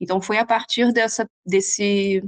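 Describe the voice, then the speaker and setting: A woman talks fairly slowly at a medium pitch in a Rio de Janeiro accent. The background is quiet. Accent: Carioca Brazilian Portuguese. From Brazil, Rio de Janeiro. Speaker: nutritionist. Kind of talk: interview. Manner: hesitant, many fillers.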